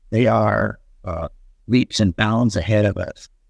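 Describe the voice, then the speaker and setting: The speech moves at a very slow pace with vocal fry. The sound is dry and close, with no echo. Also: man. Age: 70s. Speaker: fairy encounter witness. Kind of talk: interview. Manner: halting, many fillers. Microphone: poor audio quality.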